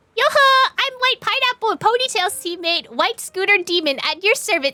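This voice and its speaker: A woman's put-on character voice, breathy and extremely high-pitched, with very wide pitch swings at a moderate pace, in a dry, close sound with no echo. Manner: floaty, cheerful.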